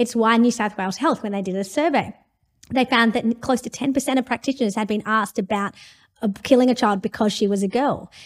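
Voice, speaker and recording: Speaking at a very fast pace, a woman has a fairly high pitch. The recording is very clean with a silent background. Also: ordinary pitch variation. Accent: Australian. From India. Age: 40s. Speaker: law professor. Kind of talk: interview. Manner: animated.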